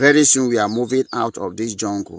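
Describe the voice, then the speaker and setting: A man at a medium pitch, speaking at a fairly slow pace. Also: dry, close sound with no echo. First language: not English. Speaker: militant group spokesman. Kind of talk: live broadcast warning speech. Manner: forceful, threatening.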